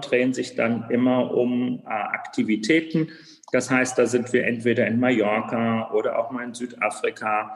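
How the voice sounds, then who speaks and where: Over noticeable background noise, a man speaks at a moderate pace. His intonation stays fairly even. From Germany, Frankfurt area. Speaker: bicycle company founder. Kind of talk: interview.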